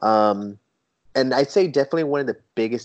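A man is talking. He speaks at a very fast pace. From San Diego, California. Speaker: toy photographer. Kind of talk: casual interview chat. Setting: remote call.

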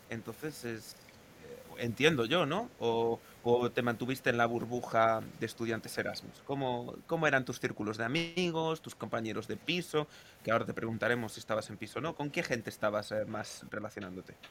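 This is an ordinary speaking voice with ordinary pitch variation. The pace is moderate. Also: man, medium pitch for a man. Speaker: podcast host. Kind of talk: casual chat.

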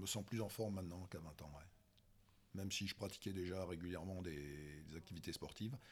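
Room echo is audible around this man. His voice is very deep, with ordinary pitch variation. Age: 50s. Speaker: masters crossfit athlete. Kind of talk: casual chat. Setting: crossfit gym. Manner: halting.

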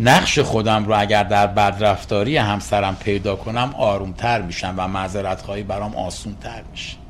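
Over noticeable background noise and audible room echo, a man speaks at a fairly low pitch and moderate pace, with ordinary pitch variation and hardly any pauses. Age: 60s. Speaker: recovering addict sharing story. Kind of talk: interview testimony.

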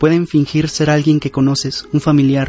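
Music plays in the background as a man speaks at a moderate pace. His fairly high voice is monotone, with flat intonation. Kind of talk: ghost story telling, first-person creepypasta narration. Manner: earnest, direct address to listener.

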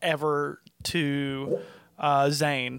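A Southern US accent in a very clean recording with a silent background. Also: man. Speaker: wrestling podcast co-host and cameraman. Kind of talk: casual chat.

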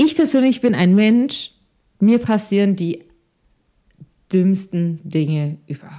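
With a dark, mellow tone and a medium pitch, a woman talks at a very slow pace, her pitch swinging very widely between long, frequent pauses. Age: 20s. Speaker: podcast co-host. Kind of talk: casual chat.

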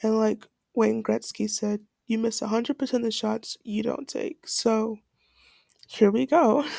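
Going at a very slow pace with long, frequent pauses, a woman speaks at a fairly high pitch with a dark, mellow tone. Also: ordinary pitch variation, dry, close sound with no echo. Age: 19. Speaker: podcast host and college student. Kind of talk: unscripted solo monologue. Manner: casual, with many fillers.

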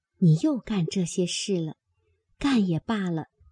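Reading aloud in a natural voice, with lively intonation, over a quiet background

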